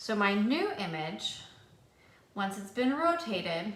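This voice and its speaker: A woman's fairly slow speech with very wide pitch swings, over noticeable background noise and audible room echo. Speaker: math teacher. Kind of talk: tutorial. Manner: casual.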